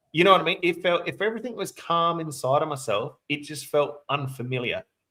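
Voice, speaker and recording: A man's bright, sharp voice, high in pitch, at a fairly quick pace with ordinary pitch variation. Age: 40s. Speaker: interviewer and channel host. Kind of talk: casual interview conversation. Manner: hesitant, filler-heavy.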